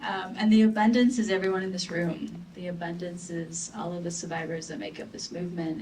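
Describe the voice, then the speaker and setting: A woman's fairly low voice at a moderate pace, with fairly even intonation, audible room echo and noticeable background noise. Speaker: advocate against gender violence. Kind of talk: panel discussion.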